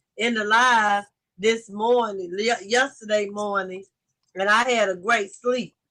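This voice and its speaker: A bright, sharp tone at a fairly slow pace, in a Southern US accent. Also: woman. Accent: Southern, country. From US South, Lake Charles Louisiana. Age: 40s. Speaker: livestream host. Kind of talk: casual chat. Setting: livestream.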